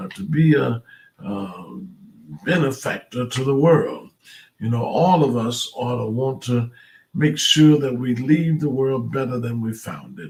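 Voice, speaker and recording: Speaking at a fairly slow pace, a man with a medium pitch and ordinary pitch variation sounds somewhat breathy, his loudness swinging widely. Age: 70s. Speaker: pastor. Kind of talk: devotional talk. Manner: halting.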